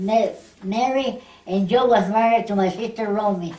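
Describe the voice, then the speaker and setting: A woman's fairly high voice at a moderate pace with fairly even intonation, with audible room echo and noticeable background noise. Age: 90s. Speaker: oral history interviewee. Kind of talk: oral history interview. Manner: halting.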